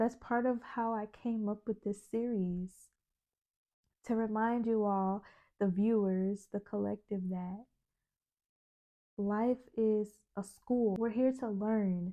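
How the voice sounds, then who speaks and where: Soft-spoken and in a dark, mellow tone, a woman speaks at a fairly high pitch with monotone, flat intonation, at a very slow pace with long, frequent pauses. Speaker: spiritual self-help video host. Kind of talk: motivational monologue to camera.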